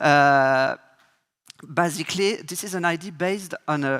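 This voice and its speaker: A man with a French accent talks in a fairly high pitch. The sound is dry and close with no echo. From France. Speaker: advertising creative director. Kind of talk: conference keynote. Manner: halting, many fillers.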